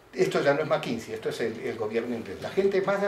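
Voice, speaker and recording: A man is speaking. Room echo is audible, and background noise is noticeable. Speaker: professor. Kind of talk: lecture. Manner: fast.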